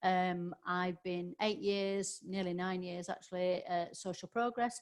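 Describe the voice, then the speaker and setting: A woman speaks with a Yorkshire accent. Her pace is fairly slow and her intonation fairly even. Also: medium pitch for a woman. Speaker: business trainer. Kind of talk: webinar presentation. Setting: online webinar. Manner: hesitant, many fillers.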